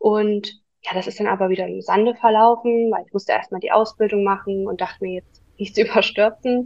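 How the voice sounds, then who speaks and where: Talking at a fairly quick pace, a woman has a plain, everyday voice with a fairly high pitch and ordinary pitch variation. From Saxony, near Dresden. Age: 20s. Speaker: virtual assistant. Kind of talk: interview.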